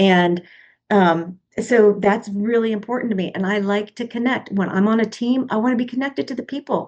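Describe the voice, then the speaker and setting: A woman speaks quite fast in an unremarkable speaking voice, fairly high in pitch with ordinary pitch variation. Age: 60s. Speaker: podcast co-host, marketing coach. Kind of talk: casual discussion.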